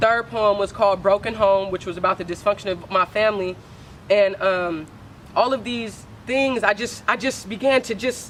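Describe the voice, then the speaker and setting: Her medium-pitched voice moves at a moderate pace, with fairly even intonation from this woman. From San Francisco, California. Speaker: spoken word artist. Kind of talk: casual interview. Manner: halting, filler-heavy.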